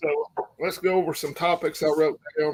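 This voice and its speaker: A man's fairly high voice with an Appalachian accent. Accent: Southern US (Appalachian). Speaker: prepper channel host. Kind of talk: live stream chat. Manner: yawning, sleepy.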